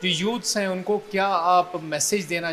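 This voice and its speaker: With music in the background, a man talks in a high pitch with ordinary pitch variation. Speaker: news correspondent. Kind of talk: interview questions.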